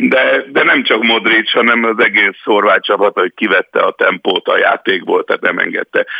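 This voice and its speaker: Speaking at a moderate pace with hardly any pauses, a man keeps his loudness very even. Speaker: football pundit. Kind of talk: casual chat. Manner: halting.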